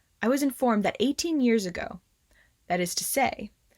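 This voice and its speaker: A woman talks with very wide pitch swings. Her voice is somewhat breathy. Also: dry, close sound with no echo. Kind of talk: ghost story reading.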